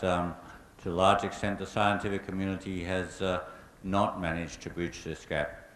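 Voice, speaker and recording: Speaking with an Australian accent, a man with a very deep, low pitch moves at a fairly quick pace. His intonation stays monotone and flat, with audible room echo. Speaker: climate scientist, invited speaker. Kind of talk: public lecture Q&A answer.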